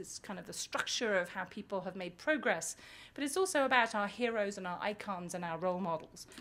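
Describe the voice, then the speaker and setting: This is a woman at a medium pitch with a British accent. The recording is very clean, with a silent background. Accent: British accent noticeable. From UK, England. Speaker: business school professor. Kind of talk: conference talk.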